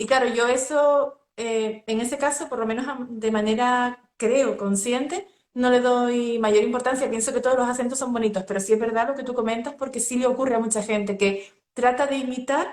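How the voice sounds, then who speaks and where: A woman with a Canarian accent speaks at a moderate pace in a high voice with fairly even intonation. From Canary Islands. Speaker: interview host, coach. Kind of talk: interview. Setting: live stream video call.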